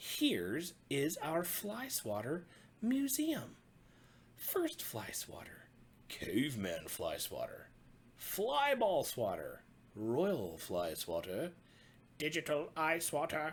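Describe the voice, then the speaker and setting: Doing a put-on character voice, a man talks at a very slow pace in a high pitch, leaving long, frequent pauses. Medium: read story. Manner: cheerful, presenting.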